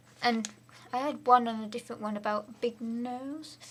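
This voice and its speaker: Through noticeable background noise, a woman speaks at a fairly high pitch with fairly even intonation. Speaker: vlogger. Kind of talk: casual vlog monologue. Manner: rambling, unplanned.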